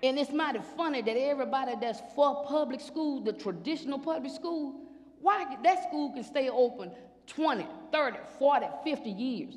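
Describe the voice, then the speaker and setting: Speech at a moderate pace is heard with noticeable background noise underneath. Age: 50s. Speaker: school board panelist. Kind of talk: panel discussion. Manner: animated.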